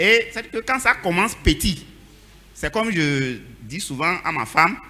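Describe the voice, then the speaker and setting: A man with a high, bright, sharp voice speaks fairly slowly with very wide pitch swings. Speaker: church member speaking in a debate. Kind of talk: church panel debate. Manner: animated.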